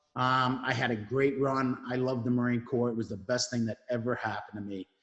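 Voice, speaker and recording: The speech moves at a fairly quick pace. It comes in a New York accent. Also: man. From New York (Brooklyn). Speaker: Marine veteran, veteran mentoring executive. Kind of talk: interview.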